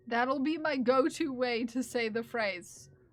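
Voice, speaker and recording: A woman's fairly high voice with an American accent and ordinary pitch variation, music playing in the background. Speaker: streamer. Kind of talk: casual chat. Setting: live stream. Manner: halting, many fillers.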